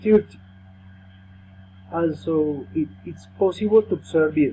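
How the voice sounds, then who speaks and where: Very wide pitch swings mark a man's dark, mellow tone as he speaks at a very slow pace. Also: fairly high pitch for a man. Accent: Colombian. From Colombia, Bogota. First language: Spanish. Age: 30s. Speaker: language student. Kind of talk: class presentation, reading prepared text. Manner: halting.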